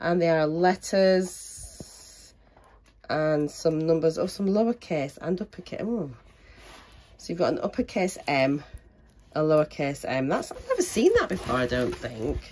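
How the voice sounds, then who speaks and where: A woman with a British accent and fairly low pitch, lively intonation, a moderate pace, and long, frequent pauses. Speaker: crafting YouTuber. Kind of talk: product unboxing. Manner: casual, hesitant with ums.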